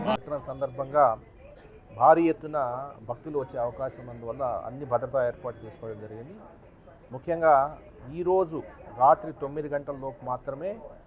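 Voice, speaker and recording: A man's pitch sits fairly high and varies in an ordinary way, delivered in a plain, everyday voice. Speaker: district official. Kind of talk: press statement to media. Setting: outdoors.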